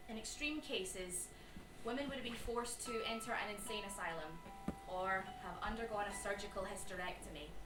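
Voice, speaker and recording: With music in the background, the speaker moves at a fairly quick pace with ordinary pitch variation. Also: woman, medium pitch for a woman. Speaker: performer and writer. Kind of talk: live solo storytelling performance. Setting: live theatre.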